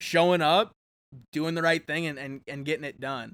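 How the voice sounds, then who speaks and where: A man's unremarkable speaking voice, fairly high in pitch, with fairly even intonation. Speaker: podcast co-host. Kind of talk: casual chat.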